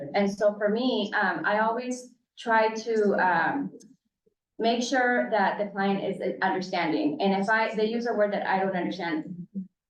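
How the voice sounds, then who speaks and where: The pace of the talk is fairly slow. A Spanish accent is heard in it. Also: woman, medium pitch for a woman, ordinary pitch variation. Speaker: case manager for parent clients. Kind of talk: panel discussion. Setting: public commission meeting.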